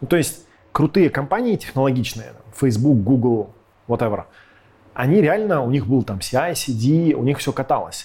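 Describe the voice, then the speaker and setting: Somewhat breathy and dark, mellow in tone, a man with a fairly high pitch talks at a moderate pace with lively intonation and long, frequent pauses. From Russia, Irkutsk then Moscow from age 12. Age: 30s. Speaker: tech company co-founder and CTO. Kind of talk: casual interview chat. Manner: animated.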